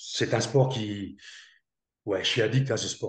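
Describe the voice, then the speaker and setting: Over a quiet background, a man speaks at a moderate pace in a medium pitch, somewhat breathy, with fairly even intonation. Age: 60s. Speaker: former army commando, network marketer. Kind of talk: interview. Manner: halting.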